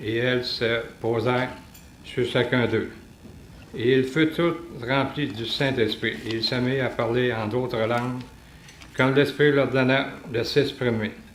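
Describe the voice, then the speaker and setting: With a Quebec accent, the speaker goes at a fairly slow pace with fairly even intonation and long, frequent pauses. Noticeable background noise is present. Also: man, medium pitch for a man. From Quebec City, Canada. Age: 70s. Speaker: retiree. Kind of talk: religious testimony talk.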